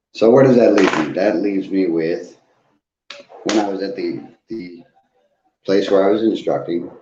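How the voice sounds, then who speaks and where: A man's fairly low voice with ordinary pitch variation, long, frequent pauses and audible room echo. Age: 40s. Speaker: recovery live streamer. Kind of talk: casual live stream monologue. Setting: live stream. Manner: slow; deliberate.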